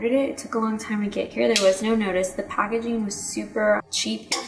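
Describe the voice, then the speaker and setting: Through noticeable background noise, a woman talks at a fairly high pitch with ordinary pitch variation. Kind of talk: casual talk to camera. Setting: headset microphone, low quality.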